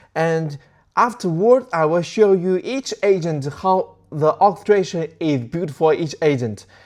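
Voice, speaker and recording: Over a quiet background, a man with a non-native accent speaks at a moderate pace and fairly high pitch. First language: not English. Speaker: tech tutorial creator. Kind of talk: tutorial. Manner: casual, halting.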